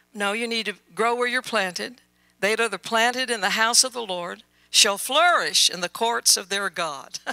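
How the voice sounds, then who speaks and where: A woman's fairly high, bright and sharp voice with a Southern US accent, ordinary pitch variation and a moderate pace. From Louisiana. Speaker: missionary minister. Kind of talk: sermon. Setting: church with congregation.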